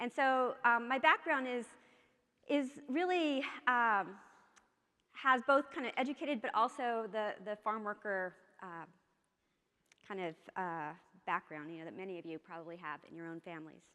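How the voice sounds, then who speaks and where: On a very clean recording with a silent background, a woman with an American accent speaks at a fairly high pitch, her tone bright and sharp. Her pitch swings very widely, her loudness shifts a lot, and she leaves long, frequent pauses. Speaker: keynote speaker, social psychology researcher. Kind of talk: keynote speech. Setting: conference stage with audience. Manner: fast.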